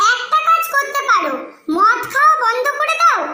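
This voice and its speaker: A woman puts on a squeaky character voice with an extremely high pitch and very wide pitch swings. She talks at a moderate pace with audible echo. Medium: cartoon. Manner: exasperated, scolding.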